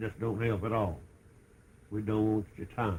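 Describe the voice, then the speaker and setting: A man's fairly low, somewhat breathy voice with an American accent, at a very slow pace. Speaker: grandfather telling family church history. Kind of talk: casual storytelling, oral history recollection.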